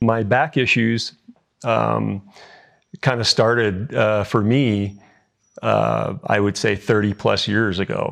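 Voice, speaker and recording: A man with a Canadian accent speaks at a very slow pace, fairly low in pitch, his intonation monotone and flat. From British Columbia, Canada. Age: 60s. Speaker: surgery patient. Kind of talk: patient testimonial interview. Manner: hesitant, casual.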